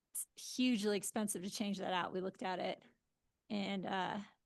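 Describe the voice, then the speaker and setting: A woman talks at medium pitch with vocal fry. Her pitch variation is ordinary and her pace is moderate. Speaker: planning commissioner. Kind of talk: public meeting discussion. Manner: hesitant.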